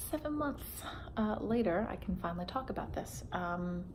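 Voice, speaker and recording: A woman speaks with lively intonation and very even loudness, with audible echo from the room. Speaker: vlogger. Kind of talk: personal vlog. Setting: at home beside sleeping baby. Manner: halting, many fillers. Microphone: may be too quiet.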